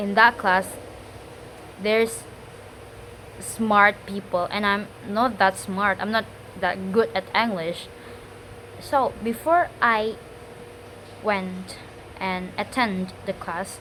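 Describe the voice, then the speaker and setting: A woman with an Indonesian accent speaks very slowly at medium pitch, leaving long, frequent pauses. Her intonation is fairly even, and there is noticeable background noise. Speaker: student. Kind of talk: spoken test monologue. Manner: halting.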